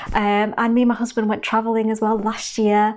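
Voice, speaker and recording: A woman with a Manchester accent at a fairly quick pace. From northern England, Manchester. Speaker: beauty vlogger. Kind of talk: casual chat.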